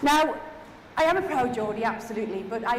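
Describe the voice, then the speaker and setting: Speaking fairly quickly with lively intonation and a high pitch, a woman is heard amid noticeable background noise and audible room echo. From Newcastle, northeast England. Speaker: keynote speaker, head of innovation. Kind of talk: keynote talk. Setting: stage with audience. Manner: animated.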